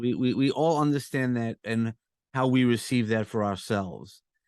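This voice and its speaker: A man speaks at a medium pitch and a moderate pace. The background is quiet. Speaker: podcast host and coach. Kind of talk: casual interview chat. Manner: comforting; halting with repeated words.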